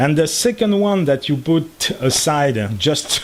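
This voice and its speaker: With noticeable background noise behind him, a man speaks at a fairly slow pace in a fairly high pitch. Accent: French. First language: French. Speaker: electronics hobbyist YouTuber. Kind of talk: tutorial. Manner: halting, many fillers.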